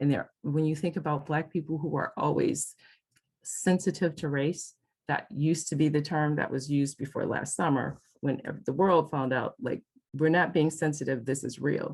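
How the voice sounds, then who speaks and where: Somewhat breathy, a woman with an American accent and a very deep, low pitch speaks at a moderate pace with fairly even intonation. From US Midwest, Detroit. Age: 60s. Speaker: couples therapist and trainer. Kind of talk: lecture.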